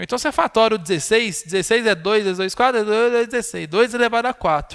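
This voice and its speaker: Very fast and high-pitched, a man speaks with ordinary pitch variation. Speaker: math teacher. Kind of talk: live online lecture.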